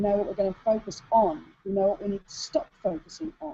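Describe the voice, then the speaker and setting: A woman speaks in a medium pitch with lively intonation and a somewhat breathy sound. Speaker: business coach for women entrepreneurs. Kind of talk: webinar presentation. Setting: online video hangout. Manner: fast.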